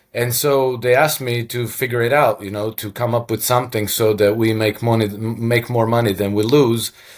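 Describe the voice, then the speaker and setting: A man's monotone, flat delivery with a Croatian accent and hardly any pauses. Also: medium pitch for a man, moderate pace. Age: 50s. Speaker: former hedge fund manager and author. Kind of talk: interview. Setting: video call.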